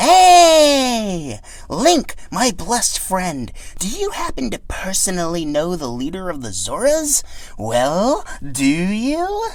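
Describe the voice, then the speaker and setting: In a put-on character voice, a man speaks very slowly and pitches his voice high. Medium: read story. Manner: eager, breathless enthusiasm.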